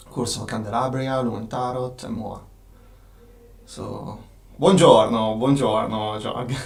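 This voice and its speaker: There is noticeable background noise and audible room echo as a man speaks with long, frequent pauses. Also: medium pitch for a man, fairly even intonation, fairly slow pace. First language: Italian. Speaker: game designer and studio owner. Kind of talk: live stream Q&A. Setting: live stream from office. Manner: halting, many fillers.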